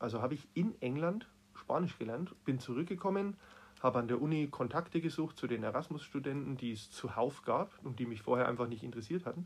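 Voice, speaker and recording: A somewhat breathy man, fairly high in pitch, fairly quick in pace, with lively intonation. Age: 40s. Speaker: teacher. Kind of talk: interview.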